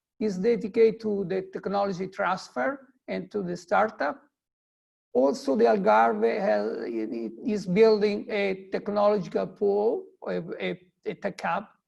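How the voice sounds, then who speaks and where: Lively intonation carries this fairly slow delivery in a non-native accent. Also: man, high pitch for a man. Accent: non-native English speaker. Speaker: tech hub CEO. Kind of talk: webinar presentation. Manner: halting, many hesitations.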